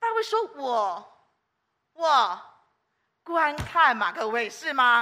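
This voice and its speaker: Projecting her high voice in a room with audible echo, a woman talks very slowly, her pitch swinging very widely, her loudness rising and falling sharply, and long, frequent pauses breaking up her speech. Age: 60s. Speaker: preacher. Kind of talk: sermon. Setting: church. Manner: animated.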